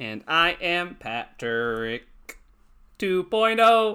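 A man puts on a robotic character voice pitched high, swinging very widely in pitch.

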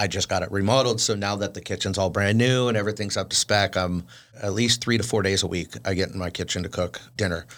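A man speaks very fast at a very deep, low pitch with fairly even intonation. The recording is very clean, with a silent background. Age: 40s. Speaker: chef. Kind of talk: casual interview chat.

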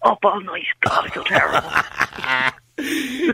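Putting on a raspy character voice, a man speaks at an extremely high pitch and a moderate pace. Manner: exaggerated, faked.

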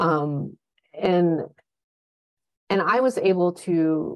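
A woman is speaking. Her pitch is fairly low. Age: 50s. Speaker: travel and nature photographer. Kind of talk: casual interview chat.

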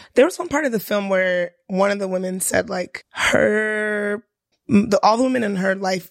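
A woman's unremarkable speaking voice at medium pitch, with ordinary pitch variation and a moderate pace. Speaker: podcast co-host, teacher. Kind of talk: casual chat.

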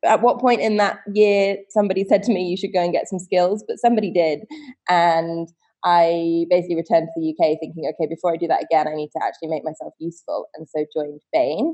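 With a southern English accent, a woman speaks at a very fast pace, her pitch fairly low and its variation ordinary. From West Country, England (Wiltshire). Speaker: fashion rental company co-founder. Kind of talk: interview.

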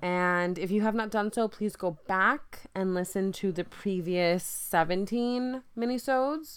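Her medium-pitched voice full of lively intonation, a woman speaks in a very clean recording with a silent background. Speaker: podcast host. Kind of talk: solo podcast monologue.

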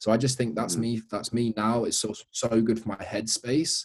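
It is an unremarkable speaking voice. Words come at a moderate rate. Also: man. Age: 20s. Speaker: personal trainer and online coach. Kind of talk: casual chat.

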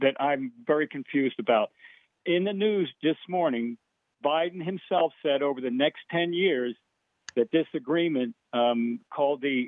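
At a moderate pace, a man talks in a fairly high pitch with ordinary pitch variation and a normal speaking voice. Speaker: caller. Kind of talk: call-in discussion. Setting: phone call. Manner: folksy.

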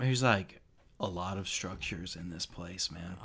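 A man puts on a character voice, drawling at a moderate pace with a very deep, low pitch. His raspy delivery has ordinary pitch variation. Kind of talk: stoner surfer drawl. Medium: actual play. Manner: laid-back, drawling, says man a lot.

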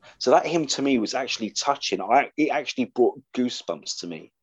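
A man with an unremarkable speaking voice, fairly high in pitch, at a moderate pace, in a dry, close sound with no echo and a quiet background. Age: 50s. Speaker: podcast host, comics writer. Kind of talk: casual chat.

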